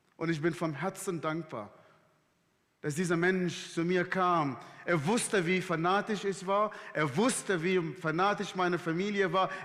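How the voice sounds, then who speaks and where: A man's high voice with an Arabic accent, at a fairly slow pace, with very even loudness and fairly even intonation. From Sudan. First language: Arabic (speaking German). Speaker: guest preacher. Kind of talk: sermon. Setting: church service livestream.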